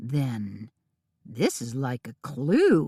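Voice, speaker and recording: A raspy, put-on character voice sits at a low-to-middle pitch. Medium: read story. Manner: slow, earnest, a bit clueless.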